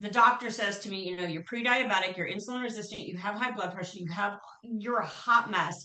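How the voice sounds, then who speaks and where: A woman talks with an American accent in an ordinary speaking voice. Her pitch is medium, with ordinary pitch variation. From Chicago. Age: 60s. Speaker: veterinary hospital administrator. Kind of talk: interview testimony.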